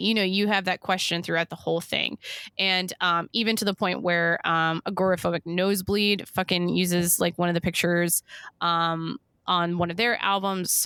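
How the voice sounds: In a Western New York accent, a woman speaks at a moderate pace with a bright, sharp tone, a fairly low pitch and monotone, flat intonation on a very clean recording with a silent background. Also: dry, close sound with no echo.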